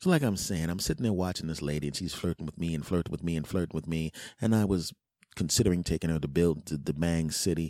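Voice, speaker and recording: Very deep and low, a man's dark, mellow voice races at a very fast pace on a very clean recording with a silent background. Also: ordinary pitch variation. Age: 40s. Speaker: podcast host. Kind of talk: casual monologue. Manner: animated.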